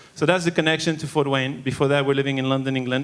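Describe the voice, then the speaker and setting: A man speaks with a French accent in a fairly high voice. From Monaco, French Riviera. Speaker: church elder. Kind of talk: testimony.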